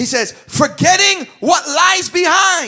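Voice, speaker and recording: An animated, bright and sharp tone in a raised, projected voice, with very wide pitch swings. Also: man. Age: 30s. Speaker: pastor. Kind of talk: sermon.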